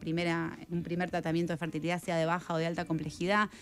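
A woman's fairly low voice over light background noise. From Argentina. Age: 40s. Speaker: writer; guest. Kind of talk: radio interview. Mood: reflective, somewhat somber. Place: studio. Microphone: studio mic.

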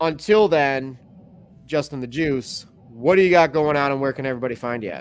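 A man with an American accent talks at a fairly quick pace in a plain, everyday voice, fairly high in pitch with ordinary pitch variation. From Chicago. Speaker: podcast host. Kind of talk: casual chat. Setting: live stream.

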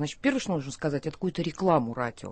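A woman's voice with very wide pitch swings. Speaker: poet. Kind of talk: radio talk show. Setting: studio.

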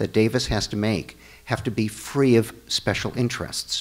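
A man with an American accent talks in a fairly low pitch. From Chicago. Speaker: attorney and city council candidate; attorney, council candidate. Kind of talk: candidate forum debate. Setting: church hall with live audience. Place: hall. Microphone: podium.

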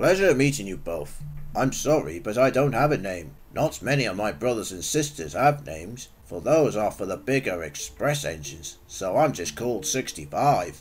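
In a put-on character voice, a man speaks at a fairly low pitch with very wide pitch swings. His pace is moderate. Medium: audio drama. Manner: modest, hesitant.

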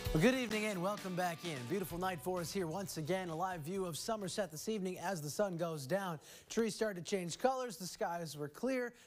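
A man talks at a high pitch with hardly any pauses. Faint music plays in the background. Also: ordinary pitch variation, fairly quick pace. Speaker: TV meteorologist. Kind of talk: evening TV weather report, walking viewers through temperatures, fronts and maps. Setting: TV studio. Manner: upbeat, conversational and folksy, with casual asides; brisk, flowing delivery, pointing at on-screen graphics. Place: studio. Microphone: lapel.

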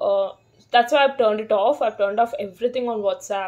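A woman's fairly high voice, dark and mellow in tone, at a fairly quick pace with ordinary pitch variation. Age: 30s. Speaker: vlogger. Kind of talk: casual vlog monologue. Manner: hesitant, many fillers. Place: home room. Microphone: phone near.

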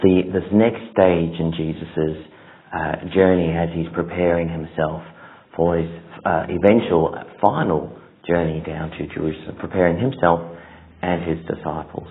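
In a monotone, flat intonation, a man speaks with a very deep, low pitch. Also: moderate pace. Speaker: preacher. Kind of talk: sermon. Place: church. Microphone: lapel.

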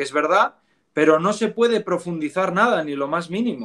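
A man with a Spanish accent and lively intonation. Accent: Spanish (Spain). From Spain, Asturias. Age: 20s. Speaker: former Protestant convert to Catholicism. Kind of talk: interview conversation.

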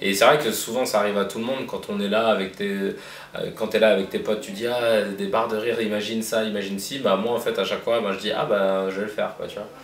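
A man with a fairly low voice rushes along at a very fast pace with hardly any pauses and a monotone, flat intonation, amid audible room echo and light background noise. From Paris, 19th arrondissement. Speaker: comedian. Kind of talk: casual interview. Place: office.

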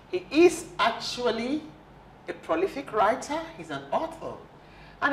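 Very wide pitch swings come at a fairly slow pace, with audible room echo and light background noise. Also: woman. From Nigeria. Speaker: health TV talk show anchor, doctor. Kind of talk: TV talk show discussion. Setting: TV studio. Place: studio. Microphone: lapel.

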